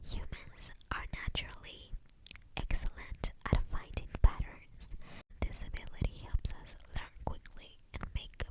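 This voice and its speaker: The voice is whispering at a very slow pace. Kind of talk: ASMR whispered facts. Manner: whispered, soft; repetitive.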